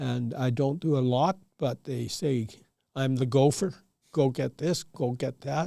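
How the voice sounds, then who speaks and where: A man with a Canadian accent speaks at a fairly slow pace, his medium-pitched voice dark and mellow in tone with ordinary pitch variation. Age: 80s+. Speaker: retired farmer. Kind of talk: casual interview. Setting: podcast studio.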